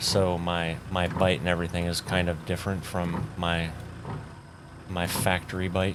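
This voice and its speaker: A man with a very deep, low pitch speaks at a moderate pace in a monotone, flat intonation. Audible room echo and noticeable background noise fill the recording. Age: 40s. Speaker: gaming YouTuber. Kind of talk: gameplay commentary. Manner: casual, rambling with fillers. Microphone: new foam cover on mic, no de-esser.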